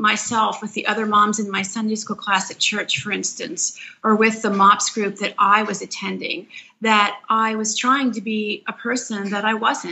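A woman with an American accent speaks at a moderate pace in an ordinary speaking voice. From Philadelphia, US. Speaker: author and mother of eight. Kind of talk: podcast interview.

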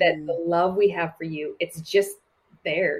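Speaking at a moderate pace, a woman with a fairly low pitch sounds somewhat breathy, her intonation fairly even. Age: 40s. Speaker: church leader and speaker. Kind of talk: casual chat.

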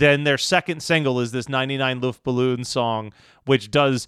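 A man with an American accent and a fairly high pitch speaks at a moderate pace on a very clean recording with a silent background and a dry, close sound with no echo. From Delaware County, Philadelphia area. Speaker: podcast co-host. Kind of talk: casual chat.

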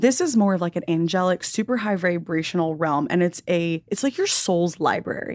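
At a moderate pace and with hardly any pauses, a woman with an ordinary speaking voice talks at a fairly low pitch with ordinary pitch variation. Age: 20s. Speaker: intuitive / spiritual guide. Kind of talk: casual chat; guided meditation.

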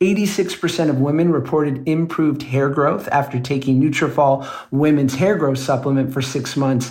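At a moderate pace with hardly any pauses, the somewhat breathy voice keeps a fairly even intonation. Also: man, fairly high pitch for a man, very even loudness. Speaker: podcast co-host. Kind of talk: casual chat and ad reads.

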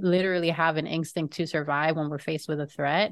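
Speaking at a moderate pace with fairly even intonation, a woman has an unremarkable speaking voice, fairly low in pitch, with an American accent. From Florida. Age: 30s. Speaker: podcaster. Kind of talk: casual chat.

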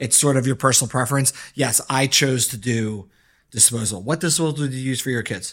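In a plain, everyday voice, a man talks fairly quickly at a medium pitch with ordinary pitch variation, on a very clean recording with a silent background. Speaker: pediatrician. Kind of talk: casual chat.

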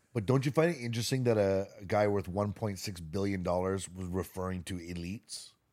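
In a very clean recording with a silent background, a man speaks with fairly low pitch and ordinary pitch variation, in a plain, everyday voice. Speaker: podcast co-host. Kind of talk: casual chat.

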